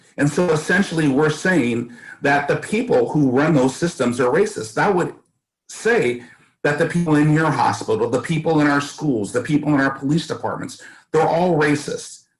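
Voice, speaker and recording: A man speaks with a fairly high pitch, ordinary pitch variation, a somewhat breathy voice and very even loudness. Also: moderate pace. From US West Coast, East Oakland, California. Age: 60s. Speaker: school board candidate. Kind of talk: interview.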